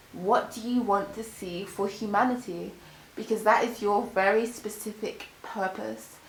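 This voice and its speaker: Against noticeable background noise and audible room echo, a woman speaks with a fairly high pitch and an animated tone at a fairly slow pace. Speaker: tarot reader. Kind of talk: tarot reading.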